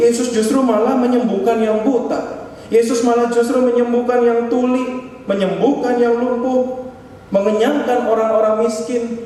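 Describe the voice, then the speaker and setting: A man speaks in an extremely high pitch with a monotone, flat intonation, at a fairly slow pace with hardly any pauses. Noticeable background noise and audible room echo surround his voice. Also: very even loudness. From Indonesia, Bandung (West Java). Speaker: pastor. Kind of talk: sermon. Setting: church service.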